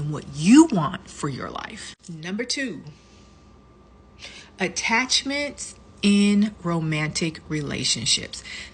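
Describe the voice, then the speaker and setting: With noticeable background noise behind her, a woman speaks at a very slow pace in a fairly low pitch. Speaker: lifestyle vlogger. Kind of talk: casual advice talk.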